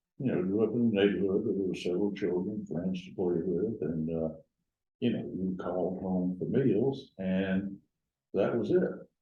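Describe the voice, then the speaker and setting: This man speaks in an American accent at a moderate pace. His pitch is fairly low with ordinary variation, and the room echo is audible. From US South, Gadsden, north Alabama. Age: 80s+. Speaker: retired lawyer. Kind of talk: oral history interview.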